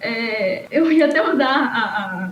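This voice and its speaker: There is noticeable background noise. The room echo is audible too. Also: woman. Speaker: podcaster and columnist. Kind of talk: podcast panel discussion. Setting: podcast recording. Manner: talks a lot, somewhat mumbled.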